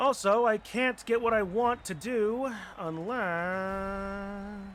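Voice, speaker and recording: Very slowly, a man speaks in a high pitch with fairly even intonation. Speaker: streamer. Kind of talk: casual gameplay commentary.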